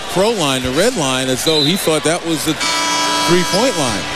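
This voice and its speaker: Heavy background noise surrounds this dry, echo-free voice moving at a moderate pace. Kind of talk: color commentary analyzing the game alongside the play-by-play caller. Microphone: headset.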